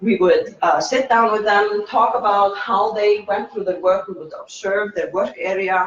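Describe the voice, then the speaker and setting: The speaker has a non-native accent and talks at a moderate pace over noticeable background noise. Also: man. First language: not English. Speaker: meetup speaker, UX designer. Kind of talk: talk at meetup. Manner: halting.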